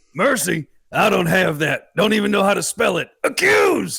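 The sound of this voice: In a put-on character voice at a moderate pace, the speaker makes very wide pitch swings with a bright, sharp tone, a slightly husky edge and vocal fry. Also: man, high pitch for a man.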